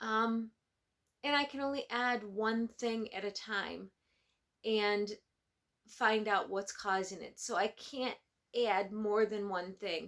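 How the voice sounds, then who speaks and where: A woman with a fairly high pitch, at a very slow pace with long, frequent pauses. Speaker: knitting podcaster. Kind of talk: casual vlog chat. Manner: hesitant, many fillers; talking louder than usual.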